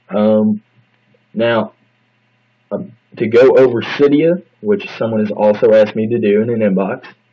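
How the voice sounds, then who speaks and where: Ordinary pitch variation marks this man's speech at a medium pitch. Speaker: tech tutorial youtuber. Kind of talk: tutorial. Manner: fast.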